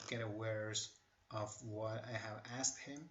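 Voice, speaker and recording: A man with a non-native accent speaks with fairly even intonation. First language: not English. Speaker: tech tutorial creator. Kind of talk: tutorial. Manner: hesitant, with many fillers.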